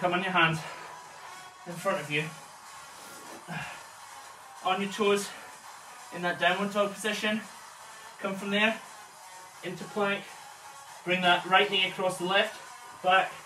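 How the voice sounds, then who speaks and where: A man's raised, projected voice, monotone and flat, broken by long, frequent pauses, with audible room echo and faint music in the background. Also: moderate pace. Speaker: personal trainer. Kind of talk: workout instruction. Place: home room. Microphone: camera far.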